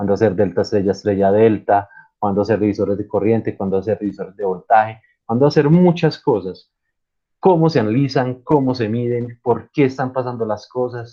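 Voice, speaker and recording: A man with a plain, everyday voice and a fairly low pitch speaks at a moderate pace with ordinary pitch variation. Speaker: university lecturer. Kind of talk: online lecture.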